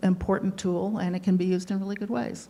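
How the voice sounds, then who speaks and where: A woman's somewhat breathy voice, dark and mellow in tone, at a medium pitch. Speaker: retired attorney, new resident of a retirement community. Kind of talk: life story talk to an audience.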